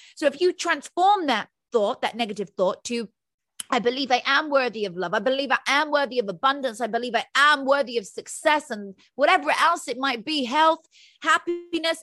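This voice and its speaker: A woman with a high pitch uses a raised, projected voice with a bright, sharp tone, lively intonation and a moderate pace. The recording is very clean and dry, close with no echo and a silent background. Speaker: motivational speaker. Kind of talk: interview.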